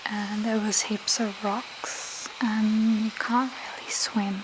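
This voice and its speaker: Soft-spoken delivery at a very slow pace. Background noise is noticeable. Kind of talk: ASMR soft-spoken talk to camera. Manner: soft-spoken, slow.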